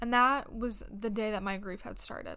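A woman's fairly high, bright, sharp voice at a moderate pace, with audible room echo. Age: 20s. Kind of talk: devotional talk. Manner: earnest.

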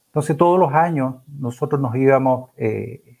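A man's ordinary speaking voice, medium in pitch, with ordinary pitch variation and a fairly slow pace. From Chile, Chillán. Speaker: accountant and council candidate. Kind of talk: radio interview.

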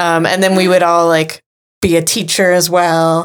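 The woman's pitch is fairly low. Her pace is moderate. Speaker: podcast host. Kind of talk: casual chat. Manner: animated.

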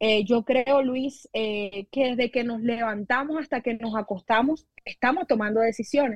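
A woman with an unremarkable speaking voice talks at a fairly slow pace with hardly any pauses, her fairly high pitch showing ordinary variation, in a dry, close sound with no echo over a quiet background. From Colombian Caribbean coast, La Guajira. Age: 20s. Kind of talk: sermon. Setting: video podcast.

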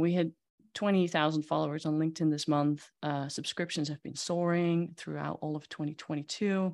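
Speaking at a fairly quick pace with a Dutch accent, a woman uses a very deep, low pitch with big swings in loudness on a very clean recording with a silent background. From Netherlands. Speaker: magazine CEO and publisher. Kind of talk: casual interview.

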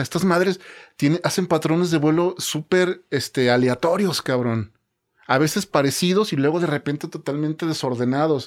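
A man has an ordinary speaking voice. His pitch variation is ordinary. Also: very clean recording, silent background. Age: 40s. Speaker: podcast guest. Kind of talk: casual chat.

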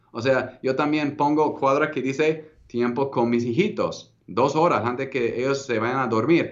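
A fairly slow pace from a man with a fairly high pitch. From United States. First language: English (speaking Spanish). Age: 30s. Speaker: entrepreneur. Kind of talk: interview.

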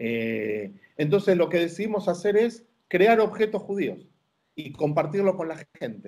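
This man's delivery is fairly slow. His intonation rises and falls in a lively way. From Argentina, Buenos Aires. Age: 50s. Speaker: rabbi. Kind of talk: interview.

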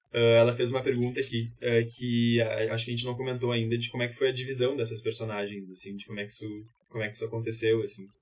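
Somewhat breathy, a man speaks at a medium pitch in a monotone, flat intonation. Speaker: actor. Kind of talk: casual chat.

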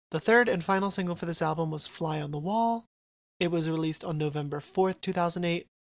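High-pitched man with an American accent, ordinary pitch variation, at a fairly quick pace. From New Jersey. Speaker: podcast host. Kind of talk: casual chat.

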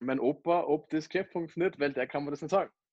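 Heard with a dry, close sound and no echo, a man in a plain, everyday voice talks at a fairly quick pace, his fairly high pitch showing ordinary variation. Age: 20s. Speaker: network marketer. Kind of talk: interview. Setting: remote call.

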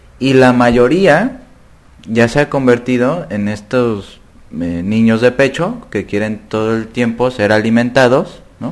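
Very slow speech from a man, medium in pitch, with ordinary pitch variation. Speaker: podcast host and psychology lecturer. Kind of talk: casual chat.

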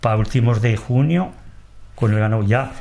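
Somewhat breathy, a man speaks with audible room echo. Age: old. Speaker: transhumant shepherd. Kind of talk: interview. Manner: halting.

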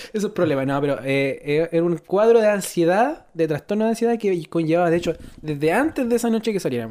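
A woman with a Chilean accent, fairly low in pitch and dark, mellow in tone, at a very fast pace with very wide pitch swings. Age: 20s. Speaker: mine worker. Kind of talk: casual chat.

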